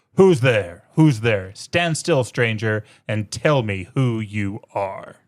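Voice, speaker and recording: A man's growling, put-on character voice at medium pitch, very slow pace, on a very clean recording with a silent background. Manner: menacing, demanding.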